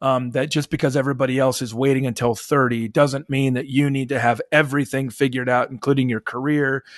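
A man's unremarkable speaking voice with an American accent, medium in pitch and fairly even in intonation, at a fairly quick pace, in a dry, close sound with no echo and a quiet background. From US Midwest. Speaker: author and journalist. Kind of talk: interview.

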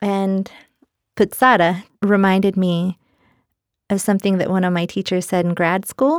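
A woman's medium-pitched voice at a moderate pace with fairly even intonation and long, frequent pauses, dry and close with no echo, in a very clean recording with a silent background. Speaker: poet. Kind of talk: interview with poetry reading. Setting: studio.

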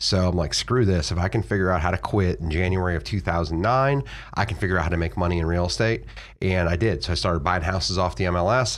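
Speaking very fast with an American accent, a man uses a very deep, low voice and lively intonation. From Florida. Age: 40s. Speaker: real estate investor. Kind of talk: interview. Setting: studio.

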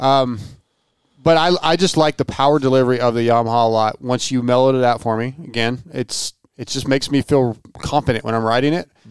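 An ordinary speaking voice, a man's medium-pitched delivery moves at a fairly quick pace with fairly even intonation, captured as a dry, close sound with no echo on a very clean recording with a silent background. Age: 40s. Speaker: motocross test rider. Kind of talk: casual chat.

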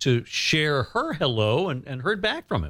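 A man's fairly high, bright, sharp voice with very wide pitch swings, on a very clean recording with a silent background. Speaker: radio and podcast host. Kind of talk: interview. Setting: studio.

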